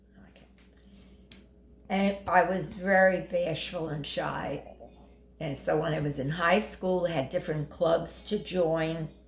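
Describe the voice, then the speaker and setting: Somewhat breathy and fairly low in pitch, a woman speaks at a fairly slow pace with long, frequent pauses, fairly even intonation and big swings in loudness. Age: 80s+. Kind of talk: interview answer. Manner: hesitant, conversational.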